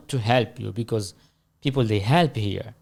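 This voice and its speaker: A man with a non-native accent at a fairly slow pace, on a very clean recording with a silent background. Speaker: manager. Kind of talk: casual interview chat.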